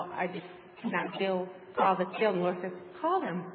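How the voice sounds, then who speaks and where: A woman speaks over noticeable background noise. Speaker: congregation member. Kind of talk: testimony.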